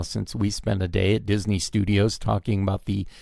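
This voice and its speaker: Speaking at a moderate pace, a man with an American accent uses a fairly low pitch. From Southern California. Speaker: podcast host and film director. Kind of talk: casual interview chat. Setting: video call.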